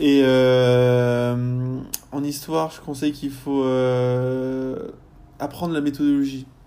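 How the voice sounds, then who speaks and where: Amid audible room echo, a man speaks at a very slow pace in a medium pitch with monotone, flat intonation. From France, Rennes. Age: 20s. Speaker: university student. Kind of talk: casual interview. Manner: halting, many fillers.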